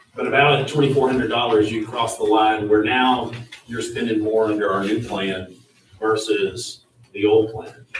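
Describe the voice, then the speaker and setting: A man speaks in an American accent at a medium pitch. His intonation is fairly even, with audible room echo. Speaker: county official. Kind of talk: public meeting. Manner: fast.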